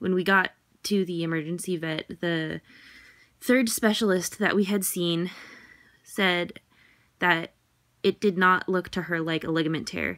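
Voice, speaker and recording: A woman's fairly low voice, a normal speaking voice, against a quiet background. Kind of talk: casual vlog chat. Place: home room. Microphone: phone near.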